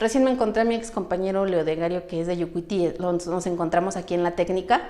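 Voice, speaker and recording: A woman speaks very fast at a medium pitch with ordinary pitch variation amid noticeable background noise. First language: Mixtec (speaking Spanish). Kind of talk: testimony.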